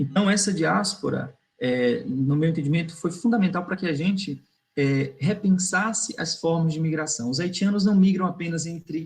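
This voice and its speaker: Moderately paced, a man speaks with a high pitch and ordinary pitch variation. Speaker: migration researcher. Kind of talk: online academic talk. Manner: hesitant fillers.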